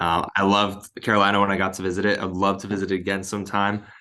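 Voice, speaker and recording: A man with a Californian accent speaks at a fairly quick pace in a fairly low pitch, his tone bright and sharp against a quiet background. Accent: Californian American. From Southern California, Inland Empire. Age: 20s. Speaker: sales manager. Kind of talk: motivational talk to a team. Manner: casual, filler-heavy.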